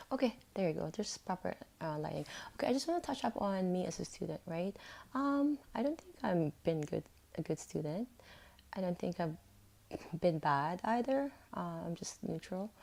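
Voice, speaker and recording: A woman's dark, mellow voice moves through very wide pitch swings, with long, frequent pauses between phrases. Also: medium pitch for a woman, moderate pace. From Philippines, with early years in an American setting. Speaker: vlogger. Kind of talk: personal vlog monologue. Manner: halting, many fillers; casual.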